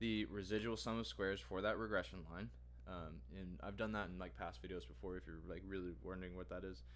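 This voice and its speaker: Amid audible room echo, a man's very deep, low voice with vocal fry swings very widely in pitch at a fairly quick pace. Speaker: data science bootcamp student and vlogger. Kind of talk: tutorial. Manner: halting.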